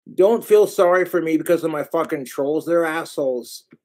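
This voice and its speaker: A man at a moderate pace with ordinary pitch variation over a quiet background. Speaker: livestreamer. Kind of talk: casual livestream rant. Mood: angry, ranting about trolls. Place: home room. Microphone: webcam.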